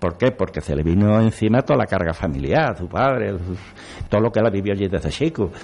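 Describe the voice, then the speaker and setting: A man's unremarkable speaking voice, fairly low in pitch and fairly quick, with lively intonation. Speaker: local historian, brotherhood member. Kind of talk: radio panel discussion.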